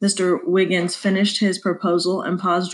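Reading done in an unforced reading voice

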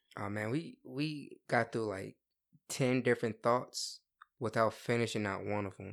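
A man speaks at a fairly slow pace in an ordinary speaking voice. His pitch is medium and his intonation fairly even. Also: very clean recording, silent background. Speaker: host's younger brother. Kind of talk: casual chat.

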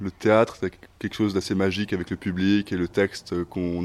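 A man talks at a moderate pace in an ordinary speaking voice with a fairly low pitch. The recording is very clean, with a silent background. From Switzerland. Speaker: actor. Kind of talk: interview.

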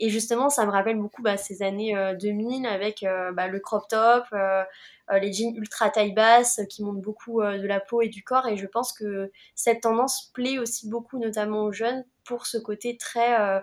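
Speaking at a moderate pace, a woman uses a fairly high pitch. Her intonation is monotone and flat. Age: 20s. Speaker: social media manager and content creator. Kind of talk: casual discussion.

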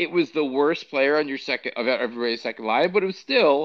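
This man has an unremarkable speaking voice with a fairly high pitch. His pitch variation is ordinary. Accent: American. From New York. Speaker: podcast co-host. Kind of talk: casual chat.

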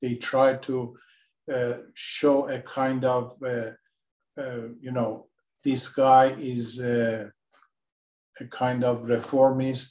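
Very slowly, with long, frequent pauses, a man speaks at a medium pitch in a monotone, flat intonation. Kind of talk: moderated interview discussion. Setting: remote call.

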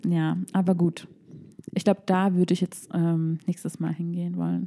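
The speaker talks at a moderate pace. The sound is dry and close, with no echo. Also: woman. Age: 20s. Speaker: podcast host. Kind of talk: casual chat.

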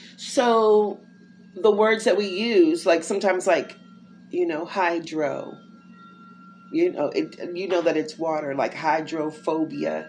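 Over noticeable background noise, a woman with an American accent speaks at a fairly slow pace with long, frequent pauses and ordinary pitch variation. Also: fairly low pitch for a woman. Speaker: inspirational podcaster. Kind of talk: devotional monologue. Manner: casual, conversational.

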